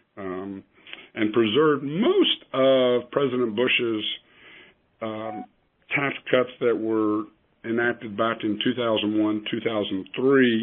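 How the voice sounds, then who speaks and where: A man with an American accent speaks at a medium pitch with fairly even intonation. He goes very slowly, with long, frequent pauses. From West Virginia, Huntington. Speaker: accountant and financial planner. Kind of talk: presentation on a conference call. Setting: conference call. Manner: halting with many fillers.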